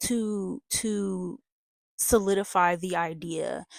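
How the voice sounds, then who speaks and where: Recorded very cleanly against a silent background, a woman speaks at medium pitch in a dry, close sound with no echo. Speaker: tarot reader. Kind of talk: tarot reading. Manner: halting; casual.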